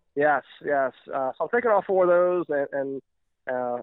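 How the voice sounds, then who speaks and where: A man in an American accent talks at a fairly high pitch with ordinary pitch variation. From US South, Louisiana. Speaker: caller. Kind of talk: casual call-in chat. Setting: phone call. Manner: hesitant, many fillers.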